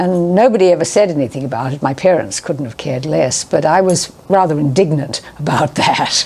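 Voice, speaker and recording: A woman speaks at a moderate pace with lively intonation. There is noticeable background noise behind her. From New Zealand. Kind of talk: interview answer.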